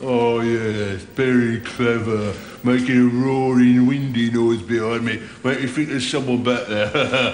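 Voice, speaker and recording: Against clear background noise, a man puts on a cackling character voice at a medium pitch, speaking fairly slowly in a monotone, flat way. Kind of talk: comic overacting. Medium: video game. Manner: cackling, sneering, wheedling.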